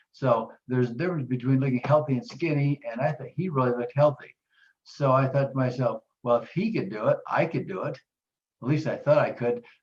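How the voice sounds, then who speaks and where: The man's pitch is fairly high, and his voice is somewhat breathy. He speaks fairly quickly with ordinary pitch variation. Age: 70s. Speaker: weight-loss program client. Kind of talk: testimony.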